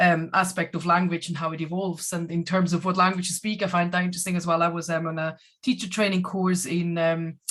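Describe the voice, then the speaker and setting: A woman's fairly low, flat monotone voice at a very fast pace. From Switzerland. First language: Swiss German. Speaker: German language teacher. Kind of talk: online panel discussion. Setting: video call.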